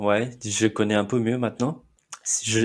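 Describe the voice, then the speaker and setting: On a very clean recording with a silent background, a man of medium pitch speaks at a fairly slow pace with fairly even intonation. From India, Mumbai. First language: Marathi (speaking French). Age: 30s. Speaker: immigrant interviewee. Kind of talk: interview. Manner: halting, with many fillers.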